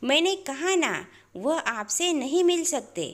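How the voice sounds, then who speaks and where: Using a put-on character voice, a woman speaks at an extremely high pitch, sounding strained and moving at a fairly slow pace. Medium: read story. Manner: firm, restrained.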